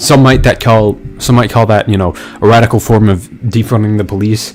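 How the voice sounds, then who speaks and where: Fairly low in pitch, a man talks with fairly even intonation against noticeable background noise. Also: fairly quick pace. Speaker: political commentary streamer. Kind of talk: live stream commentary. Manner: fast.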